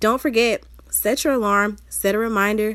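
A woman talks in an upbeat tone with a Southern US accent. Her pitch sits in the medium range. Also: very clean recording, silent background. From US South. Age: 20s. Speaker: podcast host and motivational speaker. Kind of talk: solo motivational podcast talk. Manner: casual, chatty and upbeat.

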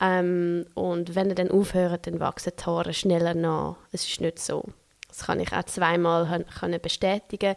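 A woman with a fairly low pitch speaks at a fairly slow pace in a monotone, flat delivery, the sound dry and close with no echo. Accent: Swiss German. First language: Swiss German (speaking German). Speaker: podcast host and doula. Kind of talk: solo podcast monologue. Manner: hesitant, many fillers.

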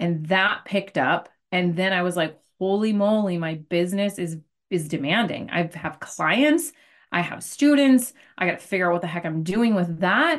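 Over a quiet background, a woman with an American accent uses an ordinary speaking voice at medium pitch, moving at a moderate pace with lively intonation. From Arizona. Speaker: business coach and podcast host. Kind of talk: interview.

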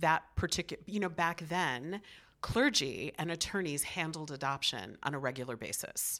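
A woman's very deep, low voice with a bright, sharp tone and ordinary pitch variation, with an American accent, on a very clean recording with a silent background. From Chicago, US Midwest. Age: 50s. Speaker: author. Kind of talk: interview.

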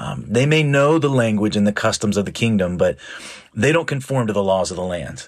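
A man at medium pitch in a normal speaking voice, fairly quick pace and lively intonation. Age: 40s. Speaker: pastor. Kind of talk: sermon. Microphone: new audio equipment failed, audio only.

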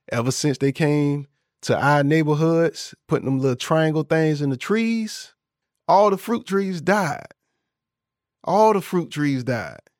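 With an American accent and an unremarkable speaking voice, the speaker talks at a fairly slow pace with lively intonation on a very clean recording with a silent background. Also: man, fairly high pitch for a man. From Florida, US South. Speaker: podcast host. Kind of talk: podcast episode breaking down song lyrics. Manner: casual, conversational, upbeat.

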